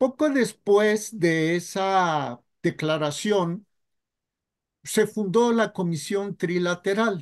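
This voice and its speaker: Against a quiet background, a man with a high pitch speaks at a very slow pace. His loudness stays very even, and his pitch variation is ordinary. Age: 60s. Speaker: journalist, interviewer. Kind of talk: interview.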